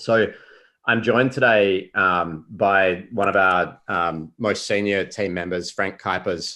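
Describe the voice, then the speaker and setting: With an Australian accent, a man speaks at a very slow pace in a fairly low voice with a bright, sharp tone and fairly even intonation. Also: quiet background. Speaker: consulting company founder and CEO. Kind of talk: business presentation in a public meeting. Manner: hesitant, many fillers.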